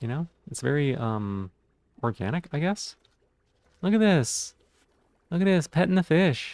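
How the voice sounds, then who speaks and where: Recorded dry and close with no echo, a man speaks at a fairly high pitch with very wide pitch swings. He goes at a fairly slow pace with long, frequent pauses. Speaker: streamer. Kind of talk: casual gameplay commentary. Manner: slurring words.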